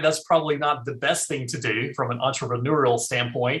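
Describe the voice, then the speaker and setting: A man with an American accent speaks at a moderate pace with ordinary pitch variation. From eastern North Carolina. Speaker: estate planning attorney. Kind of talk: interview. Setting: call.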